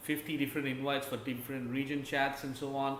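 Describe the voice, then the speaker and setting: The speaker is a man with a fairly high pitch. There is noticeable background noise and audible room echo. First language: not English. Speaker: gaming YouTuber. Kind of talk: casual commentary video. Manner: halting, many fillers.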